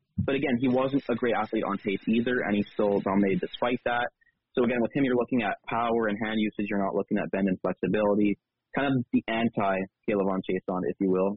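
Speaking very fast, a man with a fairly low pitch uses ordinary pitch variation. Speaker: football draft analyst, intern. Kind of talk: casual chat. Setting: video call.

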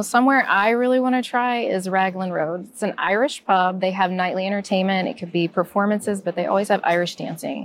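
A woman with an American accent has an unremarkable speaking voice at a medium pitch with ordinary pitch variation, talking at a fairly quick pace with hardly any pauses. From US South. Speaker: podcast panelist, Disney vacation advisor. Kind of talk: casual chat.

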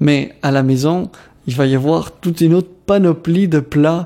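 A man with a fairly high pitch and fairly even intonation. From DR Congo, Kinshasa (Lebanese family). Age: 20s. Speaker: community organization worker, radio contributor. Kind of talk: personal testimony interview. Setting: radio studio.

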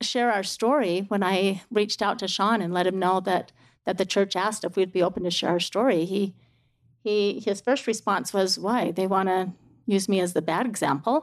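A woman with an American accent, a plain, everyday voice, medium pitch, fairly even intonation and a moderate pace, over a quiet background. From Utah. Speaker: mother. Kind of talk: testimony.

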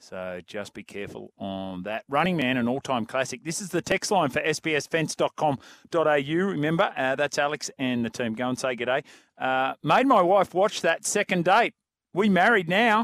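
A man with an Australian accent speaks at a fairly high pitch, swinging it very widely. The sound is dry and close with no echo. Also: moderate pace, very clean recording, silent background. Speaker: sports radio host. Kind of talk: talk radio chat. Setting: radio studio. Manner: animated.

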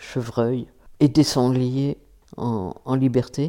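Her tone dark and mellow, a woman speaks with very deep, low pitch and fairly even intonation. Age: 70s. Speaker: retired sociologist. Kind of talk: testimony. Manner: hesitant.

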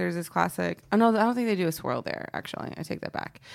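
A woman talks at a fairly quick pace with an American accent. Hers is a plain, everyday voice at medium pitch. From Texas, Dallas (Oak Cliff). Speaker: comedian. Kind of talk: casual chat.

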